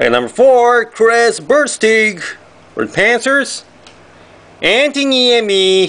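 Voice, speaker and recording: A man with a Japanese accent speaks at a very slow pace with long, frequent pauses. His voice is extremely high and bright, sharp in tone, with ordinary pitch variation. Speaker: trading card box break youtuber. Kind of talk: card unboxing commentary. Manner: animated. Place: home room. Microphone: camera far.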